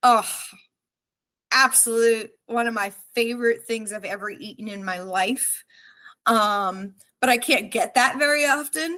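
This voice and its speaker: A woman with an American accent speaks fairly slowly, with long, frequent pauses and big swings in loudness. Her fairly high pitch varies in an ordinary way, her tone is bright and sharp, and the recording is very clean with a silent background. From New Jersey. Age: 30s. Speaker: cybersecurity company CEO. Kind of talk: casual chat.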